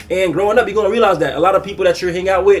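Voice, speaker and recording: A man with a high pitch talks at a very fast pace. Background noise is noticeable. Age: 20s. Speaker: youtuber. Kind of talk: casual vlog monologue. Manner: halting.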